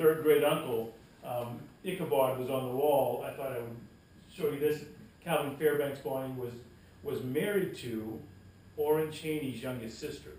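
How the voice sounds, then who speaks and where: A man talks with long, frequent pauses, and audible room echo surrounds his voice. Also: fairly high pitch for a man, ordinary pitch variation, moderate pace. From Canada. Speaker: pastor and genealogist. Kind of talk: talk to a local history society. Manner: halting, many fillers.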